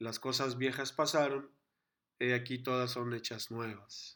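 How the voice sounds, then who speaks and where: A man speaks at a very slow pace in a medium pitch. His intonation is flat and monotone. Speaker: church class teacher. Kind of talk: online lecture. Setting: live video class with chat.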